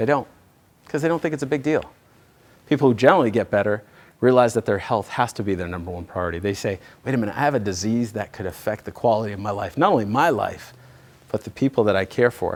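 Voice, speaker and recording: In an American accent, a man talks at a very fast pace with an animated tone and lively intonation. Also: medium pitch for a man. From US East Coast. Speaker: chiropractor giving health seminar. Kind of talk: seminar presentation to live audience.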